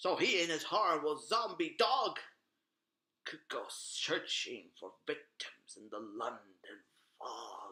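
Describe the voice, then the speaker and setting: A man puts on a character voice pitched high. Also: fairly slow pace. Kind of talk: gothic horror narration. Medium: read story. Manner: dramatic, ominous.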